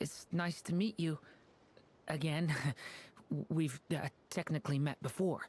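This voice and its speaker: Someone speaks in a put-on character voice at a middle pitch. The pace is fairly slow, with long, frequent pauses. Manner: nerdy.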